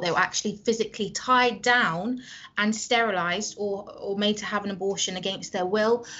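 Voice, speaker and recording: A woman talks at a fairly quick pace with a British accent. Her pitch is fairly high and her intonation fairly even. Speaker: anti-abortion advocate. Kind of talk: casual interview. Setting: video call.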